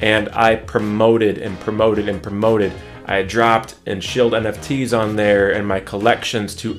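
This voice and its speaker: Faint music plays in the background as a man with a fairly low pitch speaks in a monotone, flat intonation. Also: moderate pace. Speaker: NFT artist vlogger. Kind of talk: casual vlog chat. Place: home room.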